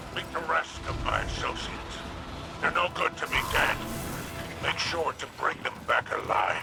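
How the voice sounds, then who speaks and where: Moderate pace from a put-on character voice, clear music in the background. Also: man. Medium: machinima. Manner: haughty, transactional.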